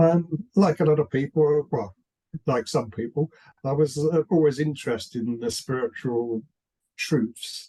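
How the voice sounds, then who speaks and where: In a dry, close sound with no echo, a man speaks fairly slowly in a fairly high, somewhat breathy voice with a dark, mellow tone and ordinary pitch variation. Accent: British. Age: 70s. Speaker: writer. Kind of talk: interview. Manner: halting, with many repeated words.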